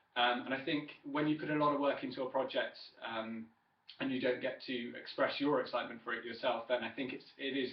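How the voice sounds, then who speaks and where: A man talks at a fairly quick pace. He has an English accent. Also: medium pitch for a man, monotone, flat intonation. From southern England, Wiltshire. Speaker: student. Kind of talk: self-introduction speech. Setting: webcam recording. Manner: hesitant, many fillers.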